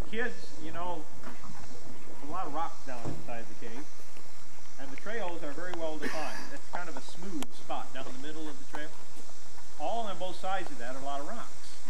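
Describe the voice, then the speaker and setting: Loud background noise fills the clip. A man talks at a moderate pace. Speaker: park ranger tour guide. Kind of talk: tour briefing to a group. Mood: friendly, joking. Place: forest. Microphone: old recording.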